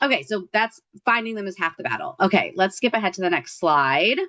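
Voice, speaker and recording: A woman speaks at a very fast pace with vocal fry and lively intonation, in a dry, close sound with no echo. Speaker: nonprofit advocacy organizer. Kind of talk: presentation.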